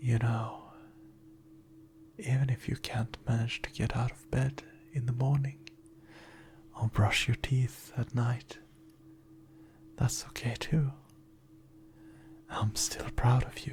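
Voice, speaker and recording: With long, frequent pauses, a man speaks at a very slow pace in a gentle, somewhat breathy tone, his medium pitch held in fairly even intonation. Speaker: ASMR performer. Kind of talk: positive affirmations. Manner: soft-spoken, gentle, reassuring.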